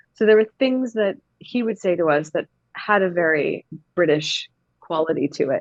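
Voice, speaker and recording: Recorded with a dry, close sound and no echo, a woman with a Canadian accent speaks at a medium pitch with lively intonation. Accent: Canadian, heard as American in England. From Canada, small town. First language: Gujarati. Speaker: actor. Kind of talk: casual chat.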